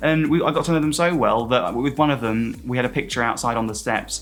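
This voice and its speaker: Speaking at a very fast pace with vocal fry, a man shows ordinary pitch variation. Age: 20s. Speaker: cabin crew. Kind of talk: interview answer. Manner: upbeat.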